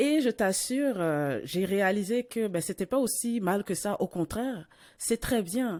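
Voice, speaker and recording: At a very slow pace, a woman with a medium-pitched voice uses lively intonation while keeping her loudness very even. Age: 40s. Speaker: podcast host. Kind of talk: casual interview conversation. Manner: hesitant, many fillers and repetitions.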